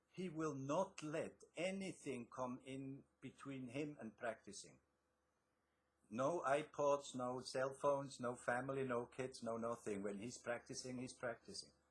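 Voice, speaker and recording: A man's somewhat breathy voice at a medium pitch, fairly slow, with ordinary pitch variation. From Switzerland. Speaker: author and success coach. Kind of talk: interview.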